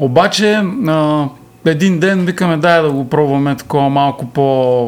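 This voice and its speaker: In an ordinary speaking voice, a man talks at a fairly slow pace with a fairly high pitch and ordinary pitch variation. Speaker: musician and songwriter. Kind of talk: casual chat.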